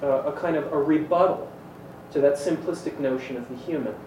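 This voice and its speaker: A man with a fairly high pitch and ordinary pitch variation talks at a moderate pace amid noticeable background noise and audible room echo. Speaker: panelist. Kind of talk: panel discussion. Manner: loud.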